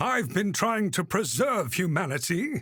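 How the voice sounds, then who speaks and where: A man's put-on character voice, high in pitch with very wide pitch swings, at a moderate pace on a very clean recording with a silent background. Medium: read story. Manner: glib.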